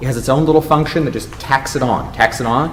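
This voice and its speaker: Noticeable background noise and audible room echo around a man talking very fast in a fairly high voice. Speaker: university instructor. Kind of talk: workshop lecture.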